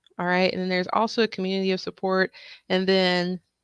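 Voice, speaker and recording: A woman speaks at a medium pitch in a calm tone. The sound is dry and close with no echo, over a quiet background. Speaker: tax professional and educator. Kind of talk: live stream talk.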